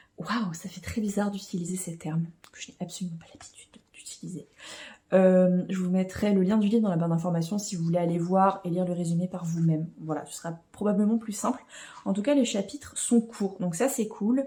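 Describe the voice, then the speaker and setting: A woman's somewhat breathy, medium-pitched voice with a dark, mellow tone, ordinary pitch variation, a fairly quick pace and big swings in loudness. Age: 20s. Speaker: book vlogger. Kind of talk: casual vlog talk. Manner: hesitant with many fillers.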